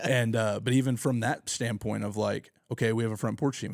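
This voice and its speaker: A man with an American accent speaks at a fairly quick pace and medium pitch in a plain, everyday voice. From Oklahoma, Tulsa area. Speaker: youth pastor. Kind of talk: podcast interview. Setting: home garage. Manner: casual, filler-heavy.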